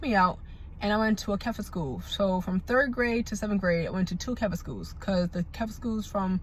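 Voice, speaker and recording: A woman talks at a fairly quick pace in a medium pitch, her voice somewhat breathy. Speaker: vlogger. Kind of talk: storytime. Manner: casual, halting.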